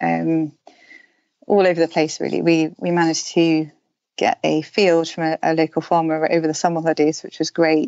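A woman speaks with a southern English accent at a moderate pace. Her voice is fairly low and her intonation is monotone and flat. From southern England, London and Herefordshire. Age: 40s. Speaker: outdoor writer and runner. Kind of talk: casual interview.

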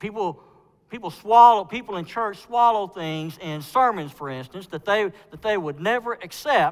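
A man is speaking. He goes at a fairly slow pace against a quiet background. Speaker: preacher. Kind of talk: sermon. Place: church.

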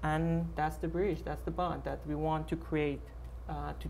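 A man speaks with a Persian accent over light background noise. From Iran. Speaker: artist and curator. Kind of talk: panel discussion. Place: stage.

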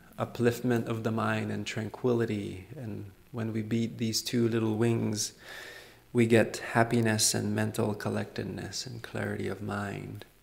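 A man speaks in a relaxed tone at a fairly slow pace. Noticeable background noise is audible. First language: French. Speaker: Buddhist monk and meditation teacher. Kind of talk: dharma talk. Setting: meditation retreat with live audience. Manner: relaxed, frequent fillers and laughs.

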